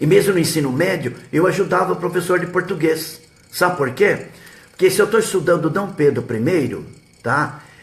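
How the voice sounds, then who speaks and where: Using ordinary pitch variation, a man with a high pitch talks at a moderate pace. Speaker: history teacher and web radio host. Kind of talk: live stream advice talk. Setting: live web broadcast.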